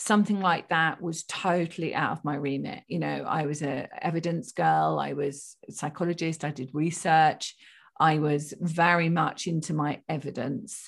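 A woman speaks fairly slowly with a very deep, low voice, vocal fry and ordinary pitch variation. The recording is very clean, with a silent background. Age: 50s. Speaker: spiritual medium and psychotherapist. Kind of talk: interview.

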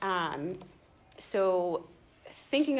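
Audible room echo surrounds the speaker. She is a woman with a medium pitch. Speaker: schoolteacher. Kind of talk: church talk to small group. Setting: church gathering, no microphone. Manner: loud, projecting without microphone.

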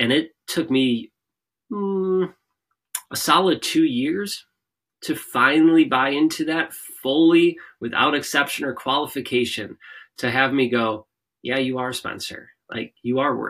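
A man with an unremarkable speaking voice, at a fairly slow pace and with ordinary pitch variation. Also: fairly high pitch for a man. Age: 30s. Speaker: motivational speaker and podcaster. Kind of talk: interview conversation.

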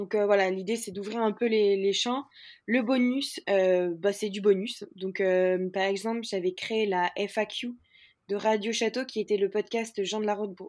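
A woman talks at a medium pitch and a fairly slow pace. Her intonation is fairly even, and the recording is very clean with a silent background. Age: 20s. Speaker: startup founder. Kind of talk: interview. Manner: hesitant, many fillers.

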